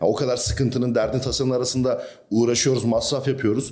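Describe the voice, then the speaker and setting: Talking at a very fast pace, a man with a medium pitch is heard with audible room echo. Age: 20s. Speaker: bodybuilder and fitness coach. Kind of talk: casual chat.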